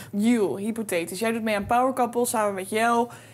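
Fairly even intonation and a moderate pace from a woman. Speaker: podcast co-host. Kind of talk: casual commentary chat. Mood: playful, joking. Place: studio. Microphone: studio mic.

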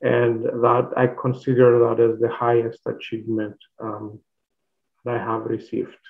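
A man speaks at a moderate pace in a flat, monotone intonation over a quiet background. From Cyprus. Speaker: professor. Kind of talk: lecture. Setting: video call. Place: home room. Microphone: webcam.

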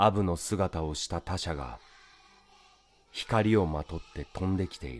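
A man with a very deep, low pitch speaks in a calm, soothing tone with lively intonation. His pace is fairly slow, with long, frequent pauses and big swings in loudness. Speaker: actor. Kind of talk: poetry reading.

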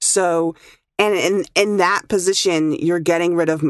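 A normal speaking voice moves at a moderate pace with fairly even intonation, in a dry, close sound with no echo and a quiet background. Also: woman. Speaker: audio engineer. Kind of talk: casual chat.

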